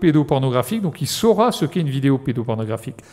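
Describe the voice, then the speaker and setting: A man's dark, mellow tone at a very fast pace. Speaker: cybersecurity expert, law enforcement officer. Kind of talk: conference talk. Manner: halting, many hesitations.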